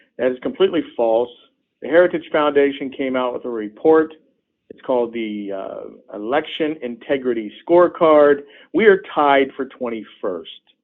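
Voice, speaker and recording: With an American accent, a man uses a normal speaking voice, fairly high in pitch, moving at a moderate pace with lively intonation. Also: big swings in loudness. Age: 60s. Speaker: politician. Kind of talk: interview. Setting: phone call.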